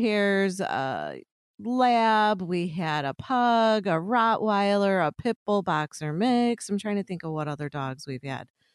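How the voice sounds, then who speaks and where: A woman with an American accent, medium-pitched and lively in intonation, in a dry, close sound with no echo and a quiet background. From US Midwest, Chicago suburbs, Illinois. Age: 50s. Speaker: podcast co-host. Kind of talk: casual chat. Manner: animated.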